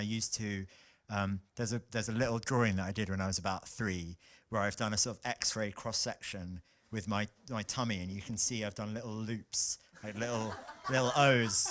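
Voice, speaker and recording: A man with a London accent speaks at a moderate pace in a fairly low voice, his intonation fairly even. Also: very clean recording, silent background. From South London, England. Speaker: bass singer in a vocal group. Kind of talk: casual introductions in a rehearsal.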